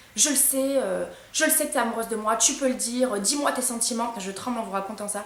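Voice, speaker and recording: Through noticeable background noise and audible room echo comes a woman's fairly high-pitched voice. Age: 20s. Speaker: YouTuber. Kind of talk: storytime testimony. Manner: halting.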